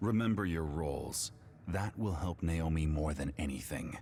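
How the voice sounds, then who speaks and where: A growling, put-on character voice at a moderate pace with very even loudness, over clear background noise. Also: man, very deep, low pitch for a man. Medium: video game. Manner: cold, measured.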